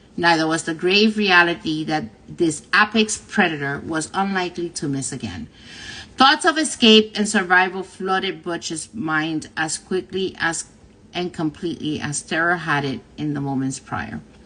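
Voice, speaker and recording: Speaking at a moderate pace in a Spanish accent, a woman with a fairly low pitch uses ordinary pitch variation against a quiet background. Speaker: livestream host reading a book aloud. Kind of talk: reading aloud. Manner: halting, frequent self-corrections.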